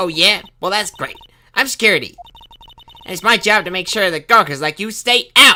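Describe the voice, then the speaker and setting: A man's put-on character voice, high-pitched for a man, at a fairly quick pace broken by long, frequent pauses. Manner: tough, officious.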